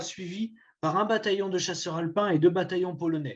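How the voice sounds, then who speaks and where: Against a quiet background, a high-voiced man with a Vosges accent speaks at a moderate pace with fairly even intonation. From France, Vosges. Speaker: historian giving a talk. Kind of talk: lecture. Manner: halting, many hesitations.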